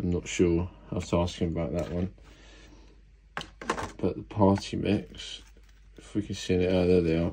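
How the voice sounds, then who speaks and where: A man's very deep, low voice with a dark, mellow tone and vocal fry, long and frequent pauses, and noticeable background noise. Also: ordinary pitch variation, moderate pace. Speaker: exotic pet keeper. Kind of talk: casual unboxing talk to camera. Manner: grumpy. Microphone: phone near.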